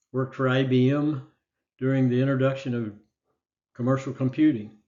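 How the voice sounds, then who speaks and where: A man speaks with an American accent. His pitch is medium and his pace moderate. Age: 80s+. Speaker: retired businessman and Marine veteran. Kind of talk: conference talk. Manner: formal.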